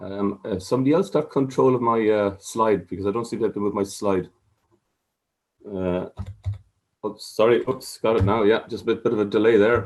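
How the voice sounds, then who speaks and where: A man with an Irish accent, a fairly low pitch and a fairly quick pace broken by long, frequent pauses. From Ireland. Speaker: water safety chief executive. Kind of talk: conference presentation. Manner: hesitant, many fillers.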